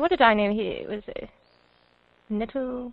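This woman speaks with a high pitch. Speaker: audio drama producer and sound designer. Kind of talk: casual chat. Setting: online chat call.

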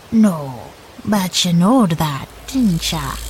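A put-on character voice at a middle pitch moves at a very slow pace over clear background noise. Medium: audio drama. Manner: folksy, cryptic.

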